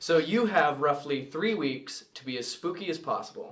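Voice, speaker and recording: In an American accent, a man speaks at a moderate pace with a fairly high pitch. His pitch variation is ordinary, and noticeable background noise can be heard. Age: 20s. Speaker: podcast co-host. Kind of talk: casual chat.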